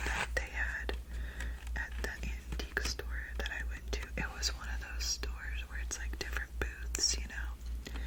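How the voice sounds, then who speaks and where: Someone whispers amid audible room echo and noticeable background noise. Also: woman. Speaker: ASMR creator. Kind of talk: ASMR haul video. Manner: whispered; slow.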